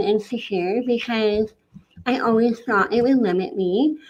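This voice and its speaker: Soft-spoken, the woman uses a fairly high pitch with ordinary pitch variation. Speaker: podcast guest, transformation coach. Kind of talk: interview, personal testimony. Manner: soft, hard to hear.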